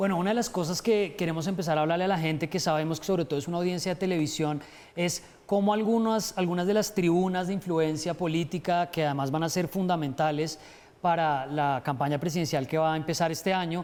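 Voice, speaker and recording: A man speaks at a very fast pace in a high voice, with ordinary pitch variation and very even loudness. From Colombia, Bogotá. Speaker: TV news host, journalist. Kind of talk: studio chat. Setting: TV studio.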